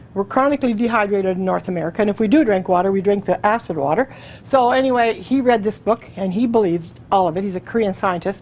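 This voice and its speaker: This woman talks very fast at a medium pitch, with ordinary pitch variation and hardly any pauses. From Canada. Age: 60s. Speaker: testimonial speaker. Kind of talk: testimony. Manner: fast, chatty.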